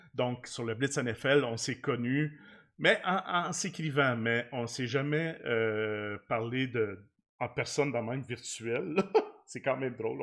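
A man with a Quebec accent at a very slow pace, quiet background behind him. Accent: Québécois French. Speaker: podcast host. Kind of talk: casual chat. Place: home room. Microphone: studio mic.

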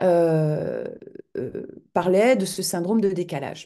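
A dark, mellow tone comes through at a very slow pace. The background is quiet. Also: woman. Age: 50s. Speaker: interviewee. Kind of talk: interview. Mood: earnest, moved at the end. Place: home room. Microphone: video call.

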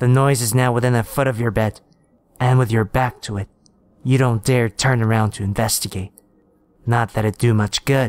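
A sinister voice speaks at a moderate pace in a flat monotone, with long, frequent pauses. The sound is dry and close, with no echo. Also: man, medium pitch for a man. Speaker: horror story narrator. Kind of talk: second-person creepypasta ghost story narration, building dread. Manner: taunting, sinister asides to the listener.

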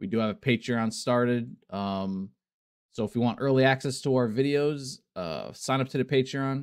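Speech moves at a moderate pace with ordinary pitch variation. The background is quiet. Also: man. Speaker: YouTube reaction channel host. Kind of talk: casual reaction video intro and outro. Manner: hesitant filler-heavy, um and uh. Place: home room.

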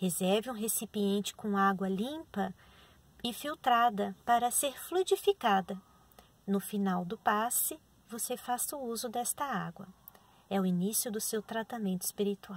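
Somewhat breathy, a woman speaks at a fairly slow pace. Her pitch varies normally and the sound is dry with no echo. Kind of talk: instructions, then a spoken prayer. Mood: calm, gentle. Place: car. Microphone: phone near.

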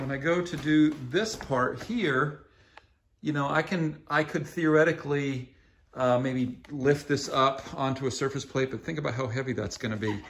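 With light background noise behind him, a man speaks at a moderate pace in a somewhat breathy voice. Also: ordinary pitch variation. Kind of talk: tutorial. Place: workshop. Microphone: phone near.

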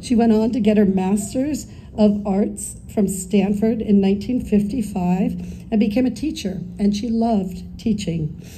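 Very slowly and with fairly even intonation, a woman with an American accent speaks in a dark, mellow tone with vocal fry over light background noise. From Northern California. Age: 60s. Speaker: daughter of the deceased giving eulogy. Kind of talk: eulogy reading. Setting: memorial gathering with audience, partly outdoors. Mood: tender, solemn remembrance. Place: garden. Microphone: camera far.

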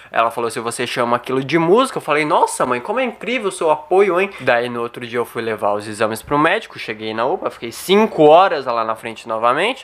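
Speaking at a fairly quick pace with hardly any pauses, a man with a Brazilian accent makes very wide pitch swings. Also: medium pitch for a man. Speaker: stand-up comedian and YouTuber. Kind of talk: stand-up comedy. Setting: home, filmed in bedroom. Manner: casual, slangy, swearing. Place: home room. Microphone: studio mic.

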